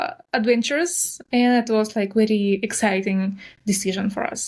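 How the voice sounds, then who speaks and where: A woman speaks with a strong Russian accent. Her pitch is fairly high. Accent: heavy Russian. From southern Russia. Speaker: nail artist and influencer. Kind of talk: interview. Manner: direct.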